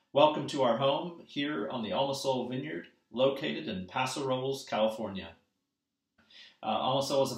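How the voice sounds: Audible room echo surrounds a man speaking at a moderate pace and medium pitch with ordinary pitch variation.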